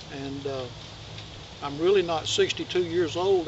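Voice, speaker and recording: A man's high-pitched voice at a moderate pace, with ordinary pitch variation, dry sound with no echo and noticeable background noise. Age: 60s. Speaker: channel host. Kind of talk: casual vlog update. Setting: outdoors in the woods. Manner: halting, with many fillers. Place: forest. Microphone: camera far.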